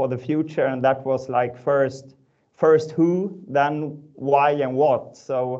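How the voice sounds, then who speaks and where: A man with a Swedish accent, fairly high pitch and dark, mellow tone, speaking at a very slow pace in monotone, flat intonation over a quiet background. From northern Sweden. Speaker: startup founder and ex-pro cyclist. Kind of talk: webinar panel discussion. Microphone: video call.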